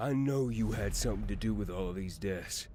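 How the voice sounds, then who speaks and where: Doing a put-on character voice, a man talks at a fairly quick pace with a very deep, low pitch over clear background noise. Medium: read story.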